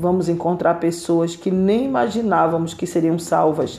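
The pace of the speech is moderate. Background noise is noticeable throughout. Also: woman. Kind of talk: sermon-style Bible teaching. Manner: earnest, exhorting, direct appeals to listener; repetitive, emphatic, fervent.

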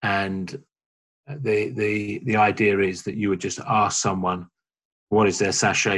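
Speaking with a London accent, a man keeps a fairly low pitch and a fairly slow pace on a very clean recording with a silent background. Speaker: church small-group leader. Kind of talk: interview.

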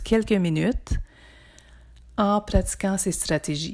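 A woman's dark, mellow, calm voice at medium pitch and a fairly slow pace, on a very clean recording with a silent background. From northern Ontario (Témiscamingue). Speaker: psychotherapist and podcast host. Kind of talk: podcast introduction.

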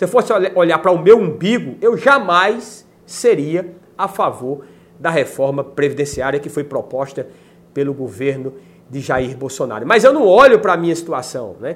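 A man at a high pitch, very wide swings in pitch, moderate in pace. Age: 40s. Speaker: YouTuber. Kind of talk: video monologue on politics.

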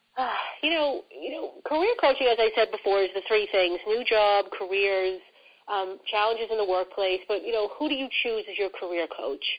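A woman speaks in a strong New York accent at a fairly high pitch. Her pace is moderate and her intonation lively. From New York City. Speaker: career coach. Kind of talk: casual interview conversation.

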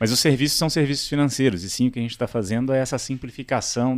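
Ordinary in pitch variation, a man's speech rushes along at a very fast pace. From Brazil, Minas Gerais and Brasília. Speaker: startup CEO. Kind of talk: interview.

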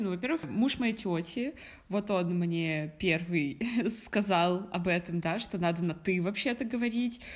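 A woman talks at a moderate pace with a medium pitch and lively intonation. The recording is very clean, with a silent background. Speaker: podcast co-host. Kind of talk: casual chat.

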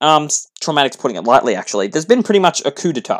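On a very clean recording with a silent background, a man with an Australian accent swings his pitch very widely. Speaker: podcast host. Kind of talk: solo political commentary podcast. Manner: fast.

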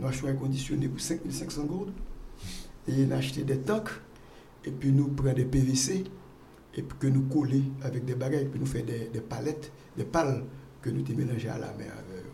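Long, frequent pauses and ordinary pitch variation, with audible room echo. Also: man, medium pitch for a man, moderate pace. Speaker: pharmaceutical entrepreneur. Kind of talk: interview. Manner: halting.

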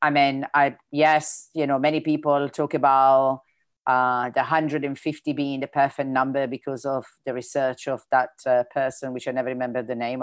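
Someone with an Italian accent speaks at a moderate pace, with hardly any pauses. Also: woman, very deep, low pitch for a woman, quiet background. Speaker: event host. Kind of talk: casual moderated Q&A. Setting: video call. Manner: animated, enthusiastic.

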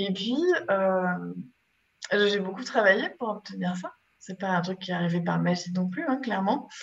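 The fairly slow, somewhat breathy delivery has long, frequent pauses and ordinary pitch variation. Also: woman, medium pitch for a woman. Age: 50s. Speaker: innovation and digital transformation expert. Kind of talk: interview. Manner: hesitant, many filler pauses.

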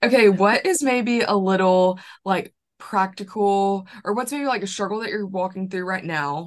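Over a quiet background, a woman with a Southern US accent speaks at a medium pitch and moderate pace, her pitch varying in an ordinary way. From Alabama. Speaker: podcast host. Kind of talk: casual chat. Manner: animated.

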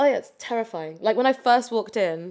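A woman talks at a very fast pace in a London accent, her intonation lively. The recording is very clean with a silent background. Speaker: competitive cheerleader and personal trainer. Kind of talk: casual chat.

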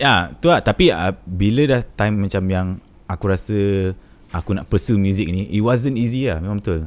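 A man with a plain, everyday voice speaks at a moderate pace in a fairly low pitch with ordinary pitch variation. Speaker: musician. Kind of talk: casual interview chat.

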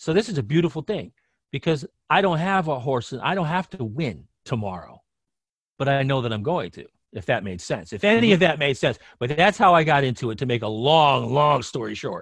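Speaking at a fairly quick pace, a man uses a fairly high voice with vocal fry and very wide pitch swings. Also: very clean recording, silent background. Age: 50s. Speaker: sports betting handicapper. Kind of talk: casual chat.

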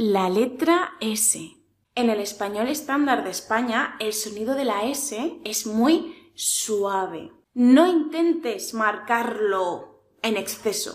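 A woman at a fairly high pitch, very slow yet with hardly any pauses, and lively intonation. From Spain, Murcia region (village). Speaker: Spanish teacher. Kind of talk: tutorial. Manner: clear, careful articulation.

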